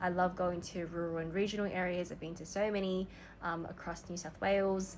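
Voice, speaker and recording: With an Australian accent, a woman talks at a fairly quick pace in a medium pitch and monotone, flat intonation, with audible room echo. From Australia, Sydney. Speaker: vlogger. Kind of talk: personal reflection monologue. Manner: casual, conversational with fillers.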